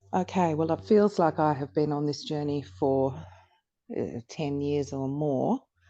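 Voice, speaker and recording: A woman's very deep, low voice with a dark, mellow tone at a fairly slow pace. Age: 60s. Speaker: podcast guest sharing menopause experience. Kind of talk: interview. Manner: hesitant, many fillers.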